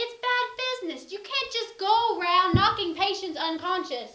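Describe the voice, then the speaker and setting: Putting on a squeaky character voice, a woman speaks at an extremely high pitch with lively intonation and a moderate pace. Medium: short film. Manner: dry, sarcastic.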